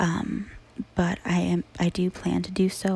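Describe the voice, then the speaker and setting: Soft-spoken whispering. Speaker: ASMR creator. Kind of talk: ASMR true crime narration. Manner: soft-spoken and whispered.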